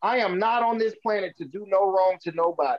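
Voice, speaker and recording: A man's high-pitched voice at a moderate pace, with ordinary pitch variation and a dry, close sound with no echo. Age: 40s. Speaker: songwriter. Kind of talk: casual chat. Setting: video call.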